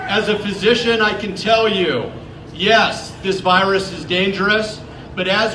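The voice is raised and projected, with fairly even intonation. It moves at a moderate pace over noticeable background noise. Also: man. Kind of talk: rally speech. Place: street.

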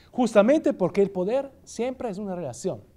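This man has a high pitch and a dark, mellow tone. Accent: Italian. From Italy. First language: Italian (speaking Spanish). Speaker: philosophy professor; guest lecturer, professor. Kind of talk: lecture. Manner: halting. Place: hall.

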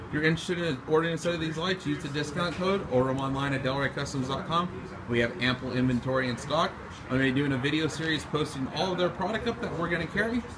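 Noticeable background noise sits behind a man's voice. He talks at a very fast pace with ordinary pitch variation. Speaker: shop salesperson. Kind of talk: product demo commentary. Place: shop. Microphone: phone near.

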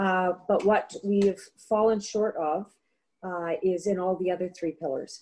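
A woman talks at a fairly slow pace with fairly even intonation. Her tone is dark and mellow. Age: middle-aged. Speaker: political candidate; candidate. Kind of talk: debate statements. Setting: video call. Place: home room. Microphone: webcam.

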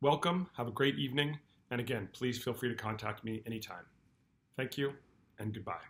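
Speaking at a fairly quick pace yet with long, frequent pauses, a man with an American accent uses ordinary pitch variation. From California. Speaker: school principal. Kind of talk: welcome address to parents. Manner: formal. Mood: warm, welcoming. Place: office. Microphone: webcam.

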